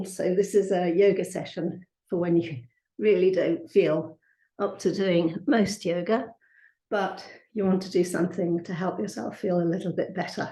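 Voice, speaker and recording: A woman's medium-pitched, somewhat breathy voice with a dark, mellow tone, a moderate pace and fairly even intonation. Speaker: yoga teacher. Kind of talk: yoga class instruction. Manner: gentle, calm.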